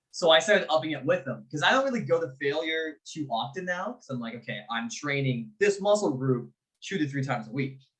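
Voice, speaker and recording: Loud and fairly quick, a man speaks at a fairly high pitch in a bright, sharp tone with lively intonation. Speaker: fitness podcast co-host. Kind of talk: casual chat. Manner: animated.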